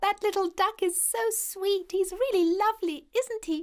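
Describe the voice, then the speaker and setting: A female-sounding, put-on character voice squeaks at an extremely high pitch. She talks at a moderate pace. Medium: cartoon.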